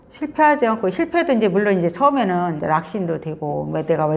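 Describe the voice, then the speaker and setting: A woman's fairly low voice with lively intonation at a moderate pace, amid noticeable background noise. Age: 60s. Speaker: author and rural pension owner. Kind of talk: interview. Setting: visiting Seoul. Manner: casual, conversational with fillers.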